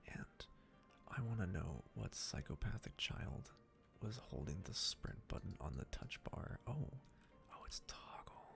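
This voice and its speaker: Over music in the background, a man whispers at a fairly slow pace. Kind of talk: casual gameplay commentary. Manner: whispered.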